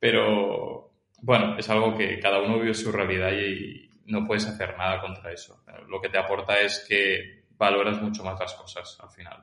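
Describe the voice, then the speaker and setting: A man at a moderate pace, with a fairly low pitch, monotone, flat intonation, and big swings in loudness. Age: 30s. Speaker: filmmaker and tennis coach. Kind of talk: casual interview.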